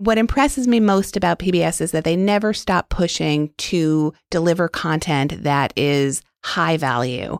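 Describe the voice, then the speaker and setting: With an American accent and an unremarkable speaking voice, a woman talks at a moderate pace with hardly any pauses, lively intonation and a fairly low pitch, on a very clean recording with a silent background and a dry, close sound with no echo. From New York City. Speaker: public broadcasting executive. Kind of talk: interview.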